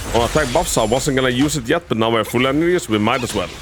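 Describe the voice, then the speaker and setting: Music plays in the background as a man with a non-native accent speaks at medium pitch with lively intonation. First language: not English. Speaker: gaming video creator. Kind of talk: game guide tutorial with gameplay commentary. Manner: halting, repeats words.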